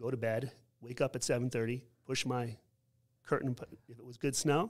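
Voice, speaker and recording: A man at a medium pitch, talking fairly quickly in a flat monotone. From New York. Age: 50s. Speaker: school principal. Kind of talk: casual interview conversation.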